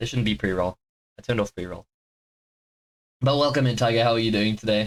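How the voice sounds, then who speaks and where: A man's voice with a dry, close sound and no echo. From Britain. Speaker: streamer. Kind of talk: live stream chat. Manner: calmer than usual; halting.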